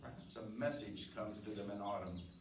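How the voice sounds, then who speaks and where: There is noticeable background noise. Through it, a man is speaking. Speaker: radio drama actor playing the lead character. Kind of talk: old-time radio drama performance and first-person narration. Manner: brooding, foreboding, thoughtful.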